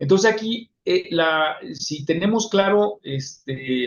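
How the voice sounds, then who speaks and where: The speaker is a man with a Mexican accent. His voice sounds somewhat breathy. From Mexico. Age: 60s. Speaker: psychologist. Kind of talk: lecture. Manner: halting.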